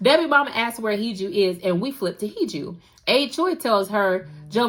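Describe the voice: Lively intonation in a plain read-aloud delivery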